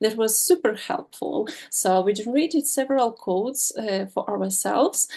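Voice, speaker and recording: A woman with a non-native accent, fairly high in pitch with a dark, mellow tone, lively intonation and a fairly slow pace. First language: not English. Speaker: student beta tester. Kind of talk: presentation with slides. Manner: halting, many fillers.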